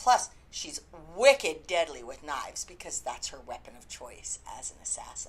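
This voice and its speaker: At a moderate pace, a woman talks with a Canadian accent. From Canada. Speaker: book reviewer. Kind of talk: casual review vlog. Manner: chatty, informal.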